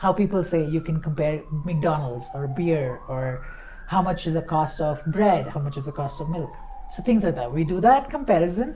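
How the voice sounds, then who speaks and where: A woman speaks with lively intonation at a fairly low pitch. The audio carries room echo and noticeable background noise. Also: moderate pace. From India, Bombay. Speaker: digital nomad. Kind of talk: casual chat. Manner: animated.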